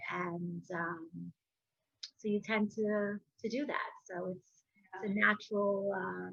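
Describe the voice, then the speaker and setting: A woman speaks in an American accent. Her pitch is medium. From Spanish-speaking country, raised in US from age six. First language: Spanish. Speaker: podcast host. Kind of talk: casual interview chat.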